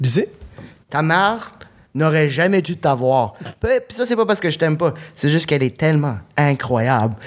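With very wide pitch swings but very even loudness, a man talks at a moderate pace in a fairly high pitch, leaving long, frequent pauses. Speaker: comedian. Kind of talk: comedy podcast jokes. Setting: stage with audience.

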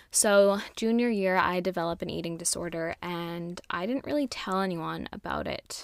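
On a very clean recording with a silent background, a woman talks in a normal speaking voice at a medium pitch, a moderate pace and with ordinary pitch variation. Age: 20s. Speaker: podcast host and breathwork facilitator. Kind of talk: personal storytelling monologue. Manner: casual, laughing often.

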